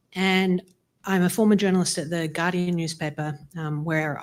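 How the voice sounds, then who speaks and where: With an Australian accent, the speaker uses fairly even intonation in a very clean recording with a silent background. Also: woman. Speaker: law professor. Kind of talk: audience comment at public forum. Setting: in-person event with audience.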